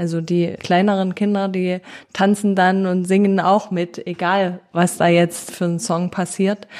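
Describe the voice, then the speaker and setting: Her intonation is monotone and flat. This woman speaks at medium pitch and a fairly slow pace. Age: 30s. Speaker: charity co-founder and project manager. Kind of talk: interview.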